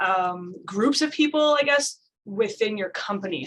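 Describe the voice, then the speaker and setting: A woman with a normal speaking voice, fairly high in pitch with ordinary variation. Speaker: safety trainer. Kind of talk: tutorial.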